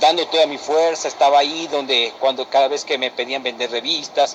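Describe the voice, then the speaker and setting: A man with an Ecuadorian accent and fairly even intonation, amid noticeable background noise. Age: 20s. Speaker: former church youth leader. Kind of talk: personal testimony.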